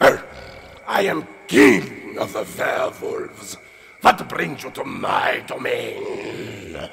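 A man's put-on character voice, extremely high-pitched and raspy, at a very slow pace

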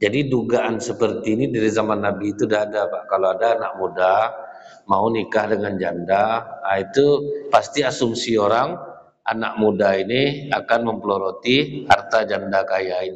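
A man's speech, moderate in pace and ordinary in pitch variation, is set against a quiet background. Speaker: religious teacher. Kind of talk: sermon. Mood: humorous storytelling. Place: hall. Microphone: podium.

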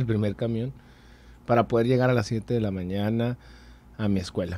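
Dark and mellow in tone, a man's voice carries fairly even intonation. The sound is dry, with no echo. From Mexico, Sonora (Hermosillo); Sonora. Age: 30s. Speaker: political candidate; candidate. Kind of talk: interview. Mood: earnest, persuasive. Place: studio. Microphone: studio mic.

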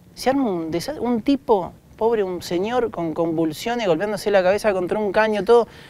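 With a dry sound and no echo, a man speaks at a moderate pace in a high voice, dark and mellow in tone, with lively intonation. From Argentina. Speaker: doctor; interviewee. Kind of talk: interview. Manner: casual. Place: stage. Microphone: lapel.

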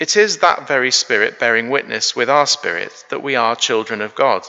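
The speaker is a man. He talks fairly slowly. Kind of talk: service welcome and scripture reading. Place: church.

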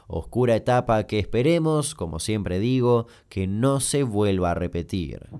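On a very clean recording with a silent background, a man speaks at a moderate pace. His fairly low voice has a dark, mellow tone and lively intonation. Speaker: YouTube storyteller. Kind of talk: scripted narration.

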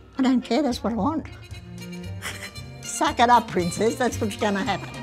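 Clear background music behind a woman with a fairly high pitch, speaking at a moderate pace. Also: ordinary pitch variation. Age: 80s+. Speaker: mayor. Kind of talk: interview. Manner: outspoken. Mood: feisty, blunt, humorous.

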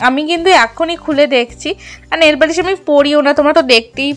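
Faint music plays behind a woman speaking at a high pitch. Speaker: housewife vlogger. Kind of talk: casual vlog chat. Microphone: phone near.

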